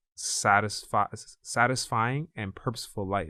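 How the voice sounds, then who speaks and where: In a very clean recording with a silent background, a man with a fairly low voice speaks with fairly even intonation. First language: not English. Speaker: podcast host. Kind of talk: casual chat.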